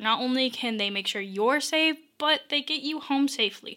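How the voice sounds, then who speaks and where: A woman's bright, sharp tone. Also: very clean recording, silent background. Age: 20s. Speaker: podcast host, college student. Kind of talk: solo advice podcast. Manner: casual.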